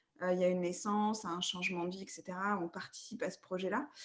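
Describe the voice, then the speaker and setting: Noticeable background noise runs under the recording. A woman talks at a moderate pace. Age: 30s. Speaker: sophrologist. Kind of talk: coaching session.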